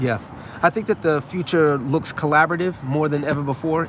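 At a moderate pace, a man with a New York accent talks in a fairly high pitch with fairly even intonation. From New York, the Bronx. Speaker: pastor. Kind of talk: casual interview chat.

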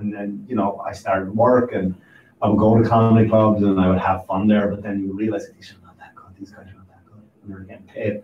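Amid noticeable background noise, a man speaks very fast in a fairly low, monotone voice with flat intonation and big swings in loudness. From Ireland. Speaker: stand-up comedian and podcaster. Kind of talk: casual chat. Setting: studio.

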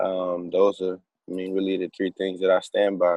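An American accent at a moderate pace with monotone, flat intonation. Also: man. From Chicago, south side. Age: 20s. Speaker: basketball performance coach. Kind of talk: interview.

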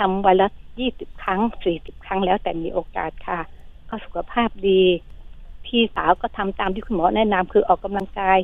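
Woman with an unremarkable speaking voice, medium pitch and fairly even intonation. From Phetchaburi, Thailand. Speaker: caller. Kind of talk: phone-in question. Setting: phone call.

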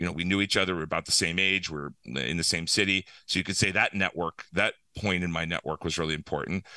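A man's very deep, low voice with an American accent and a bright, sharp tone, very fast pace, ordinary pitch variation, dry, close sound with no echo, and a quiet background. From Pennsylvania, US. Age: 50s. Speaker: startup founder. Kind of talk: interview.

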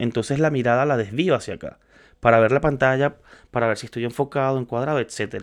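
A normal speaking voice moves at a fairly quick pace with ordinary pitch variation against a quiet background. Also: man. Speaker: podcaster on social media and content creation. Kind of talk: casual solo talk. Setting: home studio, on camera.

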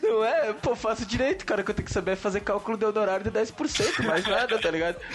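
A man's high-pitched, very fast speech with ordinary pitch variation and very even loudness, over noticeable background noise. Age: 20s. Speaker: podcast host. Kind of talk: casual chat.

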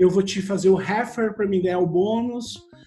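Amid audible room echo and noticeable background noise, a man with a southern Brazilian accent speaks at a high pitch with ordinary variation. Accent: gaúcho Brazilian Portuguese. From Brazil, Rio Grande do Sul (Santa Cruz do Sul). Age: 40s. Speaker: software engineer. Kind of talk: casual chat.

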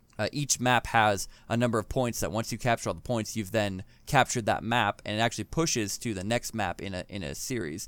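Using a plain, everyday voice, a man speaks at a fairly quick pace with a fairly low pitch. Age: 30s. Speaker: gaming podcast host and streamer. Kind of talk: casual chat. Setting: remote recording, separate rooms.

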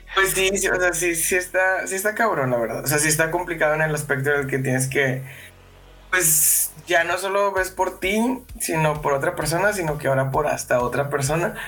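With music in the background, a man speaks at a moderate pace and a fairly high pitch, with ordinary pitch variation and very even loudness. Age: 20s. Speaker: podcast guest. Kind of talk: casual chat.

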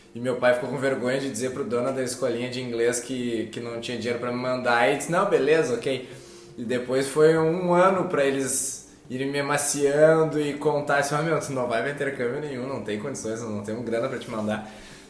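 A man talks at a fairly quick pace with hardly any pauses, amid noticeable background noise and audible room echo. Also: medium pitch for a man, ordinary pitch variation. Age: 30s. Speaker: dentist and clinic owner. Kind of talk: casual chat.

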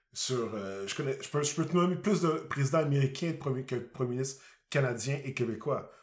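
A man's somewhat breathy voice, fairly high in pitch, at a moderate pace with ordinary pitch variation. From Quebec. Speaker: podcast co-host. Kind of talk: casual chat.

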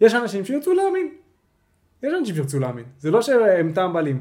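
Pitch swings very widely as a man speaks at a very fast pace. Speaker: podcast host. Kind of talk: casual chat.

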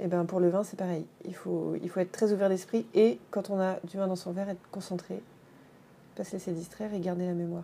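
A woman speaks at a fairly quick pace in a medium pitch, with a dark, mellow tone and fairly even intonation. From France, Dijon and Paris. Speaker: winemaker. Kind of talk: interview. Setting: wine shop.

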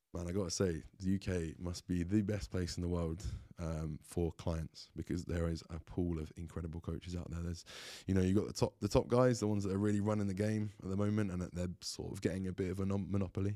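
Very deep and low, a man's dark, mellow voice comes in an English accent at a very fast pace. His intonation is fairly even, and the recording is very clean with a silent background. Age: 30s. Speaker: bodybuilder and online coach. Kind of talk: casual chat. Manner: halting.

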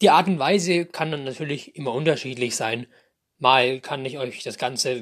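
Lively intonation marks a man speaking at a moderate pace against a quiet background. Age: 20s. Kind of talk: casual monologue introducing a podcast.

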